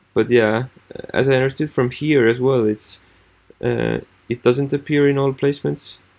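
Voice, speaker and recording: A man is speaking. His pace is moderate. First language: not English. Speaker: marketing student. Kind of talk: screen-recorded tutorial walkthrough. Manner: halting, many fillers.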